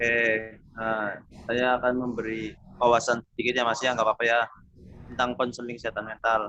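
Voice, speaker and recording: One man is speaking in a monotone, flat way. He leaves long, frequent pauses. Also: medium pitch for a man, fairly quick pace. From Tegal, Central Java, Indonesia. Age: 20s. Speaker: university student doing counseling practice. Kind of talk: counseling session with explanatory presentation.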